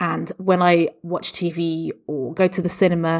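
This voice has an English accent and fairly even intonation. The recording is very clean, with a silent background. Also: woman. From England. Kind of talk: interview answers.

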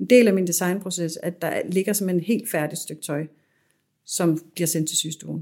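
A woman speaks fairly slowly in a plain, everyday voice, fairly low in pitch with fairly even intonation. The recording is very clean, with a silent background. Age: 40s. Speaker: fashion designer and business owner. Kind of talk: interview. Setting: her showroom.

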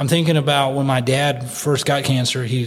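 Noticeable background noise sits behind a man with an American accent. He talks at a very fast pace with a medium pitch. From United States. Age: 40s. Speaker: missionary. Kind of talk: casual chat.

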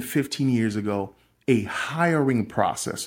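Lively intonation in a man's medium-pitched, normal speaking voice. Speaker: podcast host and small business owner. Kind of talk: solo motivational business talk.

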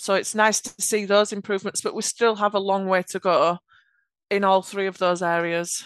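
With a Yorkshire accent, a woman speaks at a moderate pace and medium pitch in a monotone, flat intonation, the sound dry and close with no echo against a quiet background. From Yorkshire, England. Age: 30s. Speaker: automation architect. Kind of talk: casual interview chat.

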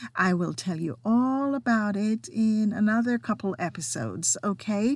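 Speaking at a very slow pace with a non-native accent, a woman uses a fairly high pitch, ordinary pitch variation and a somewhat breathy delivery against a quiet background. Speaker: podcast host. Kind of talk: solo podcast monologue, partly reading health information.

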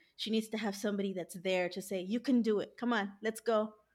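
A woman with an unremarkable speaking voice, a fairly high pitch and a fairly quick pace, on a very clean recording with a silent background. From US, Los Angeles. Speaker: dietitian. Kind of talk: interview.

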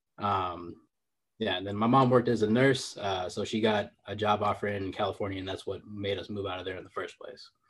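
Over a quiet background, a man with an unremarkable speaking voice talks fairly quickly at a fairly low pitch with fairly even intonation. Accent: American. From Chicago and San Francisco Bay Area, US. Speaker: fitness coach and entrepreneur. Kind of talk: interview conversation.

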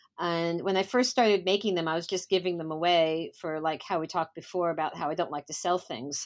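A woman with an ordinary speaking voice talks at a fairly quick pace. Her pitch is fairly low, and she hardly pauses. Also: ordinary pitch variation. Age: 50s. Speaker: dancewear designer. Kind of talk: interview.

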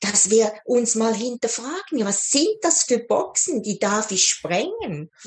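Through noticeable background noise, a woman with a fairly high voice speaks at a very slow pace with very wide pitch swings and hardly any pauses. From Switzerland. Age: 60s. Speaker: life coach. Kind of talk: interview.

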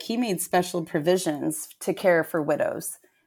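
At a moderate pace, a woman speaks in an unremarkable speaking voice, pitched fairly low. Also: very clean recording, silent background. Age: 40s. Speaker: fitness trainer. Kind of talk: casual chat.

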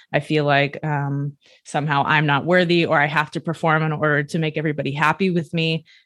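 In a very clean recording with a silent background, the voice has an American accent and monotone, flat intonation. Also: woman, very deep, low pitch for a woman, fairly quick pace. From United States. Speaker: sports neuroscientist. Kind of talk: interview.

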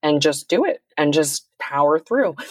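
An unremarkable speaking voice belongs to a woman talking at a fairly slow pace and fairly low pitch. The sound is dry and close, with no echo. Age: 30s. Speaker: cybersecurity executive. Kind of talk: interview conversation.

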